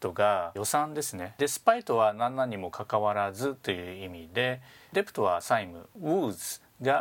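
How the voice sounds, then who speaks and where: The pace is fairly slow on a very clean recording with a silent background. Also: man. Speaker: business English instructor and podcast host. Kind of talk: tutorial.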